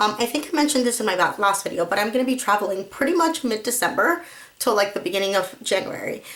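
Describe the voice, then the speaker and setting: Speaking at a very fast pace, a woman with fairly high pitch keeps her loudness very even over noticeable background noise. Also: lively intonation. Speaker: crafting vlogger. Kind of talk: casual chat. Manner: friendly, chatty.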